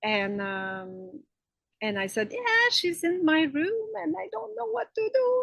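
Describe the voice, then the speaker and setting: A woman with a French Canadian accent, at a fairly slow pace. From Quebec, French Canada. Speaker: spiritual healer. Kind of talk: interview. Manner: halting, many fillers.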